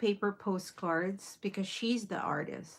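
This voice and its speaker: A woman with a Filipino accent, medium pitch and a fairly slow pace. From Philippines. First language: Filipino (Tagalog). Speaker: crafting livestreamer. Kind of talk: casual livestream tutorial.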